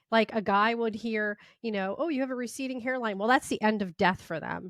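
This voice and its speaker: A woman speaks loudly at a moderate pace, fairly high in pitch with a bright, sharp tone, in a dry, close sound with no echo and a quiet background. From Italian-American. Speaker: podcast host and chef. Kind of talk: casual interview chat. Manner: loud, expressive.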